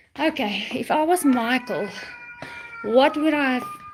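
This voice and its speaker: With music in the background, a woman speaks at a fairly slow pace in a high pitch with lively intonation. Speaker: pet vlogger. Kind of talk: casual live chat. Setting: walking around home.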